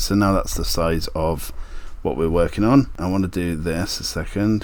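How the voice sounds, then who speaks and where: A man with a British accent talks at a fairly low pitch. His pace is moderate, and his pitch varies in an ordinary way. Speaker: DIY maker and YouTuber. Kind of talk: tutorial. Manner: casual, thinking aloud.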